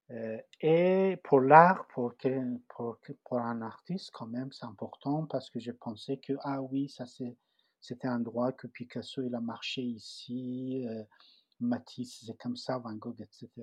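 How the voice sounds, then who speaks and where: Speaking very slowly with a Persian accent, a man uses a medium pitch, ordinary pitch variation and big swings in loudness. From Iran, Tehran. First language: Persian (speaking French). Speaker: refugee cartoonist. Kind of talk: personal testimony. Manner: halting, many repetitions and fillers.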